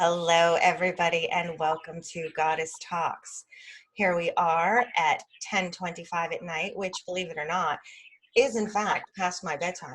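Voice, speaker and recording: At a fairly slow pace, this is an ordinary speaking voice with fairly even intonation. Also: woman, fairly low pitch for a woman. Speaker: podcast host. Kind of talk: podcast interview talk.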